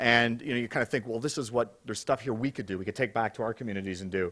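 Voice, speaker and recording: A man speaks at a very fast pace over a quiet background. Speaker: conference host. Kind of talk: opening remarks to conference audience. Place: hall. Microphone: podium.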